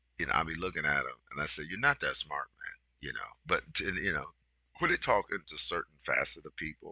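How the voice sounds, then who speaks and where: A man speaks at a fairly quick pace, with a dry, close sound and no echo. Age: 60s. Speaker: business consultant and video host. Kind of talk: casual monologue. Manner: rambling with many fillers, halting; direct, emphatic.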